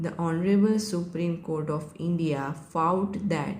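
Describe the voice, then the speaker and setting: This woman's voice is fairly low in pitch, somewhat breathy, and dark and mellow in tone. She speaks at a very slow pace. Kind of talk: shorthand dictation of a legal judgment summary. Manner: slow, measured dictation pace.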